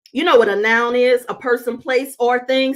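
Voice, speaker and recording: A woman speaks with a Southern US accent at a fairly high pitch. Her tone is animated. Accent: southern, with a drawl. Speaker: speaker addressing an audience. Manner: animated, preacher-like delivery.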